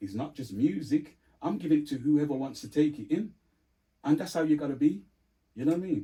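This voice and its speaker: A man with a dark, mellow tone and vocal fry speaks at a fairly quick pace and a fairly high pitch, with long, frequent pauses. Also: ordinary pitch variation. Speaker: sound system DJ and sales rep. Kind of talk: casual chat.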